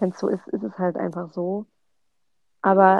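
A woman speaks at a moderate pace. Her intonation is flat and monotone. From Hesse, Germany (Offenbach). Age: 20s. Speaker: sociology student. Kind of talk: casual chat.

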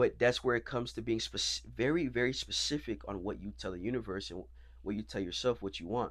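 A man with an American accent and vocal fry talks at a fairly quick pace in a very clean recording with a silent background. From Florida. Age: 20s. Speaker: actor. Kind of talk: interview. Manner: hesitant.

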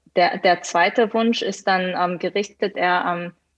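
Here a woman talks at medium pitch and a moderate pace. Her intonation stays fairly even. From Hannover, Germany (from South Korea at nine). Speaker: management consultant. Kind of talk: podcast interview. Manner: hesitant, many fillers.

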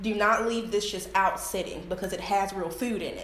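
Noticeable background noise and audible room echo mark the recording. A woman speaks through them at a moderate pace. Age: 20s. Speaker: small business owner, soap maker. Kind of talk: product presentation.

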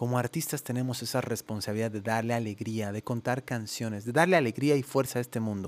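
A man at medium pitch talking at a very fast pace, hardly any pauses, ordinary pitch variation. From Bolivia, La Paz. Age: 30s. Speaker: music producer and podcast host. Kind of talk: solo podcast monologue. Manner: hesitant fillers, casual.

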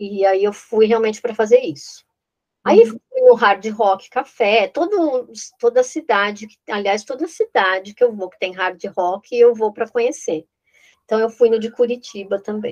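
The recording is dry and close, with no echo, as a woman speaks at a fairly slow pace. Her fairly high voice shows ordinary pitch variation and big swings in loudness. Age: 50s. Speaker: real estate consultant. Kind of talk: interview. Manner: halting.

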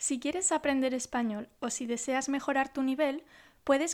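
This woman's voice sits high. It varies in pitch in an ordinary way. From Huesca, Aragón, northern Spain. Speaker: Spanish teacher. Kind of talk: sales pitch.

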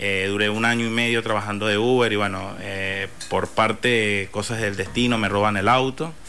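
A man speaks at a moderate pace with hardly any pauses, his fairly low voice held to fairly even intonation. The room echo is audible and background noise is noticeable. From Venezuela (Barinas). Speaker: food entrepreneur. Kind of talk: interview.

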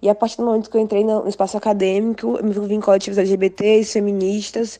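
Her voice has a dark, mellow tone at a mid-range pitch. The woman's delivery is monotone and flat. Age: 20s. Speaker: vegan content creator. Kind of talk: guest self-introduction.

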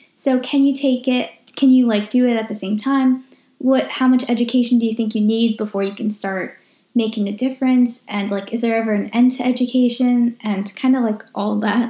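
Her tone is dark and mellow, with a fairly high pitch. This woman speaks at a moderate pace in a monotone, flat intonation. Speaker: podcast host. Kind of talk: casual conversational podcast.

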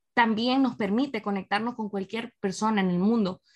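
A woman talks at a medium pitch and a moderate pace. The sound is dry and close, with no echo. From El Salvador, San Miguel. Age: 30s. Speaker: radio presenter and digital marketer. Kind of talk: casual interview chat.

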